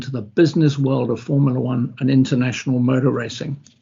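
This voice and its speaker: Somewhat breathy speech in a British accent at a moderate pace. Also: man. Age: 70s. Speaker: former racing driver and motorsport sponsorship executive. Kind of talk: online presentation. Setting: online video presentation.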